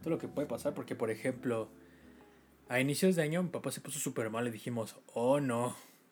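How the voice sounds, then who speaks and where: A man talks at a fairly quick pace. He has a Mexican accent. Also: medium pitch for a man, ordinary pitch variation. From Mexico. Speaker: podcast host. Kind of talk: casual chat.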